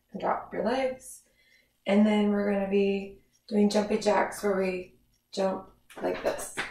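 Audible room echo surrounds a woman speaking fairly slowly in a monotone, flat intonation. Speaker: fitness instructor. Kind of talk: workout instruction. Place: home room. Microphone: camera far.

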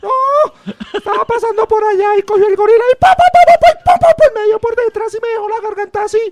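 Putting on a character voice, a man speaks at an extremely high pitch at a moderate pace. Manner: sad, pained.

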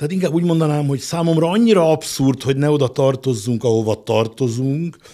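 A man with a fairly high-pitched, dark and mellow voice talks at a moderate pace with ordinary pitch variation against a quiet background. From Hungary. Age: 60s. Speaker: business executive; guest. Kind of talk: interview; interview answer. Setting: studio. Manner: halting. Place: studio. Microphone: studio mic.

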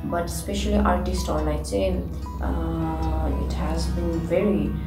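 Clear music in the background beneath a woman talking. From Nepal. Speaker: ballet dancer. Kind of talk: interview answer. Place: home room.

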